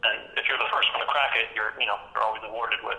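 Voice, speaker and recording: Words tumble out very fast from a man, with noticeable noise in the background. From Germany. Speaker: comic book artist. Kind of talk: interview. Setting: big echoey room.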